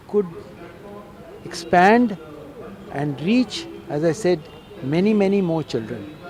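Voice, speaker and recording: A man talks at a moderate pace with ordinary pitch variation. Crowd noise carries in the background. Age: 70s. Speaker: retired professor and cyclist. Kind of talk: interview.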